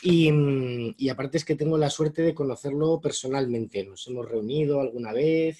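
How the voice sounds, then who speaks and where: The tone is dark and mellow, somewhat breathy. Pitch varies an ordinary amount. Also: man. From Spain. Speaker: moderator. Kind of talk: introduction of a speaker. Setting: video call.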